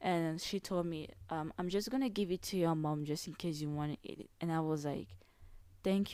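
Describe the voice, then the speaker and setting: Speaking with a non-native accent, a woman with a fairly low pitch and a dark, mellow tone shows ordinary pitch variation in a very clean recording with a silent background. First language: not English. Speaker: podcast host. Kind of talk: casual solo podcast monologue. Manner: casual, hesitant with fillers.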